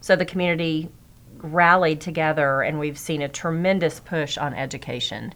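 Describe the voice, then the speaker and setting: In an American accent, a woman talks at a moderate pace with fairly even intonation. Her pitch is very deep and low. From Texas, Odessa (West Texas). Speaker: chamber of commerce executive. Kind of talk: interview.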